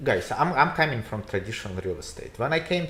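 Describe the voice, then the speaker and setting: A man speaks over noticeable background noise. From Russia. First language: Russian. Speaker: real estate agent. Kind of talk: casual chat. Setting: livestream. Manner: halting.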